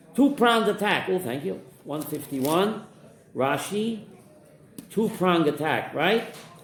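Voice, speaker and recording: A high-pitched man's voice at a fairly slow pace with lively intonation and long, frequent pauses, plus music in the background and audible room echo. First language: Yiddish. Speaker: rabbi teaching a Torah class. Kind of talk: Torah class with student interjections. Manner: animated.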